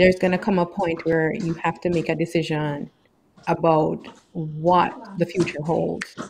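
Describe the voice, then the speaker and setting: In a Caribbean accent, a woman speaks with a fairly low pitch and fairly even intonation. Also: fairly slow pace. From Caribbean island. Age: middle-aged. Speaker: co-host.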